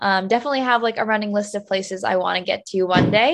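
Against a quiet background, a woman with a New Jersey accent talks at a very fast pace in a fairly high pitch with ordinary pitch variation. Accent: American, New Jersey. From US, New Jersey. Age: 20s. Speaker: travel content creator and author. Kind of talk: interview.

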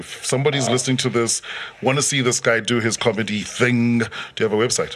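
A man at a very fast pace and medium pitch, with noticeable background noise. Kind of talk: casual sports chat.

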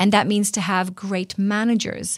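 In an Israeli accent, a woman speaks at medium pitch and a moderate pace on a very clean recording with a silent background. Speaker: interview guest, workplace culture leader.

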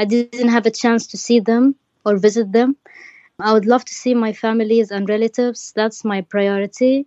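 Someone with an Arabic accent speaks at a moderate pace with monotone, flat intonation. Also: woman, fairly high pitch for a woman. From Yemen. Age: 20s. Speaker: refugee. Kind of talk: interview.

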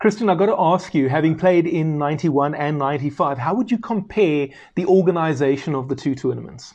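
The voice moves at a moderate pace with hardly any pauses over a quiet background. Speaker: podcast host. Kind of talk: interview.

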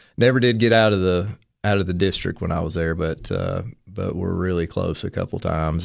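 In an East Tennessee accent, a man speaks with ordinary pitch variation. The background is quiet. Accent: Southern US (East Tennessee). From US South, Tennessee (Madisonville). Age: 30s. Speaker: high school athletic director and former baseball coach. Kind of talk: casual interview.

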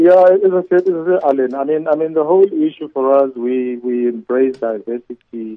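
With an unremarkable speaking voice, a man talks at fairly high pitch with ordinary pitch variation. His pace is moderate, with hardly any pauses. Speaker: corporate executive. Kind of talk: interview.

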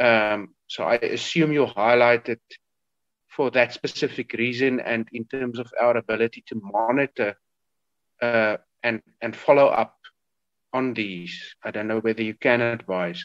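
Dry and close with no echo, a man of medium pitch speaks at a fairly slow pace with fairly even intonation and long, frequent pauses. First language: not English (second language speaker). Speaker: committee member, MP. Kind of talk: formal parliamentary committee meeting.

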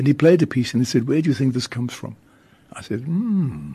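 The man's voice is dark and mellow, with vocal fry at a medium pitch. He talks at a moderate pace with lively intonation. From South Africa, Cape Town. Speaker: radio host and priest. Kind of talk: radio interview. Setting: radio studio.

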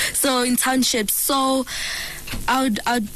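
Background noise is noticeable. Over it, a woman talks at a moderate pace. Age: 20s. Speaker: skincare entrepreneur. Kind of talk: radio interview. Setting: radio studio.

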